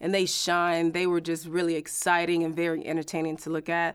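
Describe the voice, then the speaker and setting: On a very clean recording with a silent background, a woman with a fairly low pitch talks at a fairly quick pace. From Florida (Winter Haven), Haitian parents. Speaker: high school math teacher. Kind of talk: casual chat.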